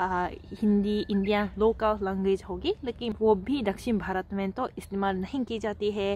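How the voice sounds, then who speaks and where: The speech comes at a very slow pace with fairly even intonation. The sound is dry, with no echo. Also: woman. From Japan, Fukuoka (Hakata); Japan. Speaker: language teacher YouTuber; language teacher vlogger. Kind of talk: tutorial. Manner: hesitant, with fillers. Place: garden. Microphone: handheld.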